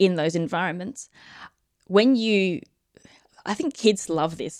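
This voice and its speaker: An Australian accent against a quiet background. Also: woman. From Australia, Adelaide. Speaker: physician and space medicine researcher. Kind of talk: interview with live audience questions.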